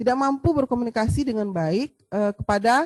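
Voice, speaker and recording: With a Sumatran accent, a woman speaks at a moderate pace in a fairly high pitch. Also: dry, close sound with no echo. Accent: Sumatran, forceful tone. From Sumatra, Indonesia. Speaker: midwifery lecturer. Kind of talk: lecture. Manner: hesitant fillers.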